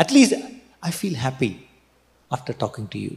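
The man's fairly high voice moves in very wide pitch swings. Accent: Keralan. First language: Malayalam. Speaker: pastor. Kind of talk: sermon. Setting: church.

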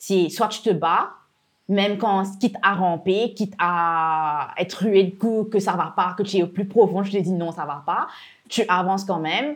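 A normal speaking voice moves at a fairly slow pace with ordinary pitch variation. The background is quiet. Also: woman. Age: 20s. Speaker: entrepreneur. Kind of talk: interview. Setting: workshop.

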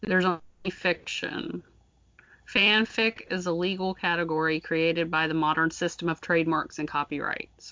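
Speaking at a moderate pace with an American accent, a woman has an unremarkable speaking voice, fairly low in pitch, with fairly even intonation. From US South. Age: 40s. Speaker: podcast host.

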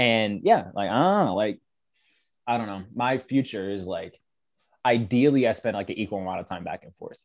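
The voice has an American accent, a moderate pace and ordinary pitch variation, with big swings in loudness. The recording is very clean with a silent background. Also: man, medium pitch for a man. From Michigan, US Midwest. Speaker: creative brand founder. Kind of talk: casual chat. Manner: animated.

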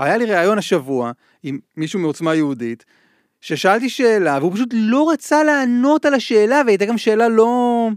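A man speaks with a high pitch that swings very widely. The recording is very clean, with a silent background. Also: moderate pace. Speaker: radio host and journalist. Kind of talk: casual interview chat.

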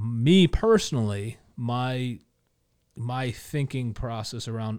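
With an American accent, a man talks at a very slow pace. His pitch sits in the medium range. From Connecticut. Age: 40s. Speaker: arts nonprofit board member and former DJ. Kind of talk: casual interview. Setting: studio. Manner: halting, many filler words.

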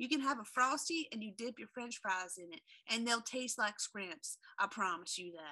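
A woman with a fairly high pitch and a bright, sharp tone talks at a moderate pace, her loudness swinging widely. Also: lively intonation. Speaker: podcast co-host. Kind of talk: casual chat, humorous. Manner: loud, animated.

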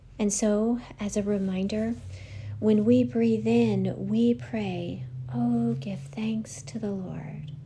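Very slow speech in a gentle, calm tone over noticeable background noise. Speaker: church prayer leader. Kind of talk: guided breath prayer meditation. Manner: slow, calm, soothing; gentle, reverent, unhurried with pauses.

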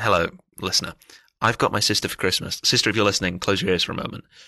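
Against a quiet background, a man puts on a raspy character voice, fairly low in pitch and delivered at a very fast pace. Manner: whispering, ASMR-style.

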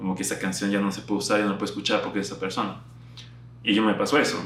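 A man's fairly low voice carries through clear room echo and background noise. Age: 20s. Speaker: youtuber and podcaster. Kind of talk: casual monologue to camera.

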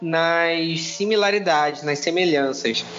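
A high-pitched male voice comes through with noticeable background noise behind it. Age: 20s. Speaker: co-author and witchcraft practitioner. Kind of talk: casual chat.

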